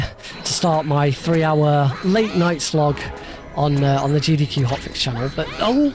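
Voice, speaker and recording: Over noticeable background noise, a man talks at a moderate pace. His pitch is fairly high, with ordinary variation. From United Kingdom. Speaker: speedrunner. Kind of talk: live gameplay commentary. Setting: live charity stream. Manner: hesitant, many fillers.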